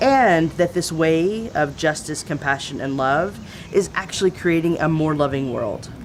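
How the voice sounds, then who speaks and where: A woman's very deep, low voice in a Southern US accent, fairly slow, with lively intonation and noticeable background noise. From Texas (East Texas, San Antonio). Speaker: theologian and activist. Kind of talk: interview.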